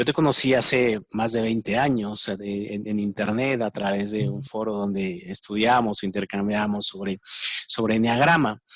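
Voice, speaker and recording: A man with a fairly low pitch and a Mexican accent. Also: dry, close sound with no echo. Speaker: interviewer, enneagram expert. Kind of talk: interview. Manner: halting, repetitive fillers.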